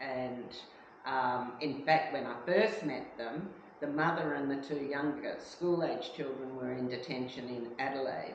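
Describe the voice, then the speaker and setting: A fairly slow voice with an Australian accent and ordinary pitch variation, amid audible room echo and noticeable background noise. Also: woman, very deep, low pitch for a woman. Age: 70s. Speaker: refugee support worker. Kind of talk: interview. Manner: hesitant with fillers.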